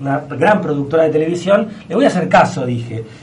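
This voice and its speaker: Over noticeable background noise and audible room echo, a man talks at a fairly quick pace with lively intonation. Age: 30s. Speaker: astrologer. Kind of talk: radio interview. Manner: animated.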